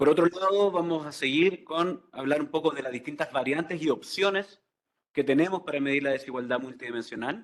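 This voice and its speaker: A man's fairly high voice with ordinary pitch variation at a fairly quick pace. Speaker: economist presenter. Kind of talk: conference presentation. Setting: conference hall with audience. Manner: fast.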